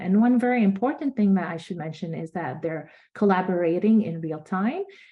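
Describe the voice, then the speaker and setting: A woman speaks with music in the background. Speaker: nonprofit organization leader. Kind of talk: virtual conference presentation.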